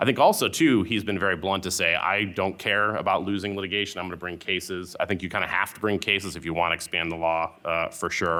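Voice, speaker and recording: The speech comes at a very fast pace with hardly any pauses. The tone is bright and sharp, and the intonation fairly even. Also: man, very deep, low pitch for a man. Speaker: antitrust lawyer. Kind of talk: panel talk.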